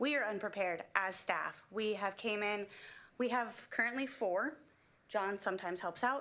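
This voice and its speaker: Loud and lively in intonation, the voice moves at a fairly slow pace. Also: woman. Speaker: school kitchen worker, public commenter. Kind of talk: public comment at school board meeting.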